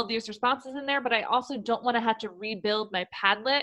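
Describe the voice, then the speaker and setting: A woman talks at a fairly quick pace and a fairly high pitch. She has an ordinary speaking voice. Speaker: educational technology trainer for teachers. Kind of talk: webinar tutorial. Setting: online webinar.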